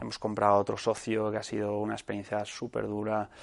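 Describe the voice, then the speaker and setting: The voice keeps a moderate pace. The background is quiet. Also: man. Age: 20s. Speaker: entrepreneur. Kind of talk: talk to students. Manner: casual, halting.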